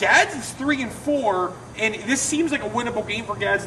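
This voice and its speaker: Amid noticeable background noise, a man uses a raised, projected voice with an animated tone, ordinary pitch variation and a moderate pace. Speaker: sports show co-host. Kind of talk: casual sports talk. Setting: outdoors. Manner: loud.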